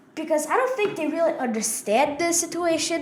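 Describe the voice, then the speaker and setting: A woman talks with lively intonation while noticeable background noise sounds behind her. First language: Russian. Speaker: podcast co-host. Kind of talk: casual political discussion. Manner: hesitant, many fillers.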